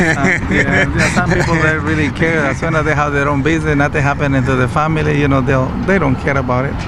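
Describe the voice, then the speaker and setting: There is audible room echo and noticeable background noise as a man talks at a fairly high pitch. His pace is very fast with hardly any pauses, fairly even intonation, and very even loudness. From Mexico or Latin America. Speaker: community reporter. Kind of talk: street interview.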